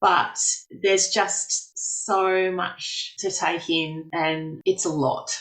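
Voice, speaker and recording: A woman speaks at a very slow pace with an Australian accent, her pitch medium and its variation ordinary. Music plays in the background. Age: 40s. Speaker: farmer. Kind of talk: interview answer.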